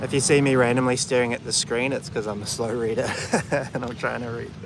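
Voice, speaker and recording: A man with a New Zealand accent, medium pitch, flat monotone delivery and a very fast pace, over noticeable background noise. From New Zealand, Auckland. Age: 30s. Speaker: vlogger. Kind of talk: casual chat. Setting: outdoors.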